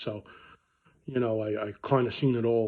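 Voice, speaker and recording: A man speaks in a Brooklyn accent at medium pitch. His intonation is monotone and flat. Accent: Brooklyn New York. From New York (Brooklyn). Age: 50s. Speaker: car dealer. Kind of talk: casual vlog talk. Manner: conversational with many fillers.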